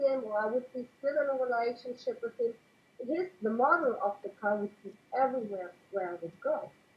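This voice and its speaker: A woman speaks at a moderate pace with a non-native accent. Her voice is high, with ordinary pitch variation. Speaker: interview guest. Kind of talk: casual interview. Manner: halting.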